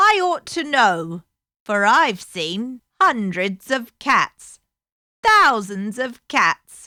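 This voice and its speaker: A woman puts on a high-pitched character voice. She speaks at a very slow pace with very wide pitch swings. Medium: read story.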